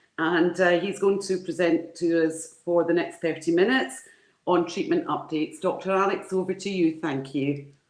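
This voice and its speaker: At a moderate pace, a woman with a Glasgow accent speaks at a fairly low pitch with fairly even intonation. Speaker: conference moderator. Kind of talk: speaker introduction. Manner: halting.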